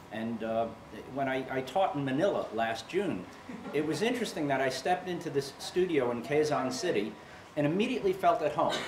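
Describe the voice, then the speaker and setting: Speaking with an American accent, a man uses a fairly high pitch with very wide pitch swings at a fairly quick pace. Audible room echo and noticeable background noise come through. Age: 60s. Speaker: yoga instructor, retired firefighter. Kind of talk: interview testimony. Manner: halting, many repetitions.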